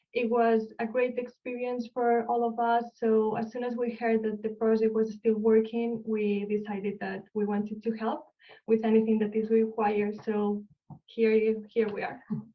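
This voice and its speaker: In a Spanish accent, a woman speaks at a moderate pace with a fairly high pitch and a monotone, flat intonation. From Spain, Barcelona. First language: Spanish or Catalan. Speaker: archaeologist. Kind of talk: lecture. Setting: online video call.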